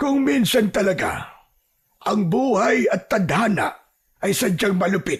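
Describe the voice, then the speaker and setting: A fairly high-pitched put-on character voice at a fairly slow pace. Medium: read story. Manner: slow, deep and reflective.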